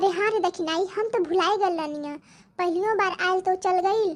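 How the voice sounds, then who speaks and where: Squeaky and extremely high-pitched, a woman does a cartoonish character voice at a fairly quick pace with fairly even intonation. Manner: rustic, chatty.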